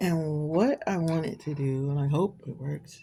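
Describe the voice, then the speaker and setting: A woman speaks at a very slow pace in a very deep, low pitch. Her tone is dark and mellow, and somewhat breathy. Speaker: amateur painter and writer. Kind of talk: casual painting tutorial. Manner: whispering at times; casual, hesitant.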